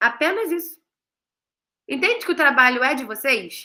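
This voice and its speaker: Raising and projecting her high voice, a woman with a bright, sharp tone speaks at a fairly slow pace through very wide pitch swings. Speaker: online class presenter, graduate student. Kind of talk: online class.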